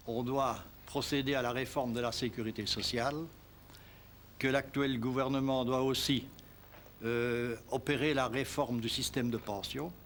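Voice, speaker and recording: A man in a Liège accent speaks at a medium pitch with monotone, flat intonation. His pace is fairly slow, broken by long, frequent pauses. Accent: Belgian French, Liège. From Belgium, Liège region. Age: 70s. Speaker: retired trade unionist. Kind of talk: documentary interview; speech to an assembly.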